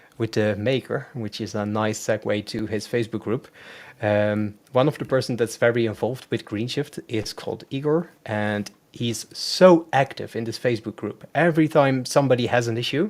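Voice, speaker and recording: A man with a Dutch accent and a medium pitch. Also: ordinary pitch variation, moderate pace. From Netherlands. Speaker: web designer. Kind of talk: live demo tutorial. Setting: live stream video call. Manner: hesitant, many fillers.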